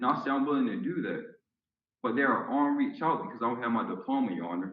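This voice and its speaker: Audible room echo surrounds speech delivered at a very fast pace. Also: man. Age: 20s. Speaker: tenant in court. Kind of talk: court testimony. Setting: video call court hearing. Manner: defensive, emphatic.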